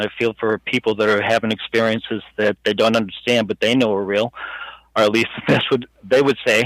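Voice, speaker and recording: A man talks in a medium pitch with an American accent. His intonation is monotone and flat, and the sound is dry and close with no echo. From Boston area, Massachusetts. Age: 60s. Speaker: alien abduction experiencer. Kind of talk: interview. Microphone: headset mic, poor quality.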